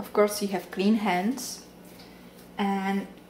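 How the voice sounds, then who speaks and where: Clear background noise accompanies a woman whose voice sits at a medium pitch. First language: Czech. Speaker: home cooking vlogger. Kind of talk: cooking tutorial. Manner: casual.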